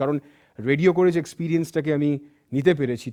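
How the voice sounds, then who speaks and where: Against a quiet background, a man with a dark, mellow tone and fairly high pitch speaks with ordinary pitch variation in a dry, close sound with no echo. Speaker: radio jockey. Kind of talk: motivational talk.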